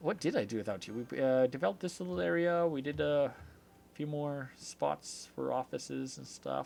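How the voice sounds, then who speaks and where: Music plays behind a man with an Albertan accent who talks at a moderate pace and medium pitch, his voice swinging very widely in pitch. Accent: Canadian (Alberta). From Canada. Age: 30s. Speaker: video game streamer. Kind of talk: casual live-stream chat.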